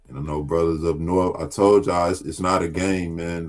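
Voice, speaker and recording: With music in the background, a man with a very deep, low pitch talks at a fairly slow pace in a flat monotone. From US South. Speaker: talk show host, Bible teacher. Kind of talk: casual religious discussion.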